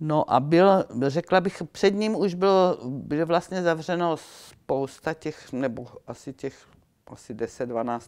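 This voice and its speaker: Speaking at a fairly slow pace, a woman keeps her intonation lively. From Czechia, South Moravia (Viničné Šumice); South Moravia, Czechia. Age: 80s+. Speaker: eyewitness; witness. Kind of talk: oral history interview. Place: hall. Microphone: lapel.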